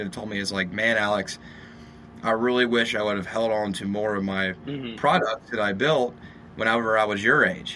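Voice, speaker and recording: Fairly low in pitch, a man talks at a fairly quick pace with fairly even intonation, and audible room echo surrounds his voice. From Louisiana, Shreveport. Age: 20s. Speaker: real estate developer. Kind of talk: interview.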